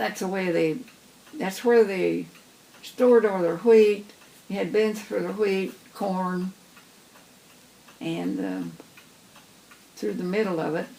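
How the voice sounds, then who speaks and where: A woman at a very slow pace, with long, frequent pauses and noticeable background noise. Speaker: farm family elder recalling the past. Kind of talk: interview answer. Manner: casual, reminiscing.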